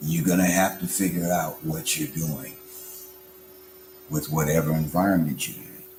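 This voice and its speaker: Amid noticeable background noise, a man with a very deep, low voice speaks at a moderate pace, leaving long, frequent pauses. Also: big swings in loudness. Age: 60s. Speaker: religious and political speaker. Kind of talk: motivational speech. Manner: animated.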